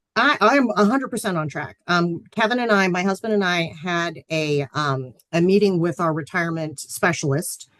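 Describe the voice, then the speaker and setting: A woman's unremarkable speaking voice, fairly low in pitch, lively in intonation, at a moderate pace with hardly any pauses. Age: 40s. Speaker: financial planning instructor. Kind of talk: lecture. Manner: casual, many filler ums.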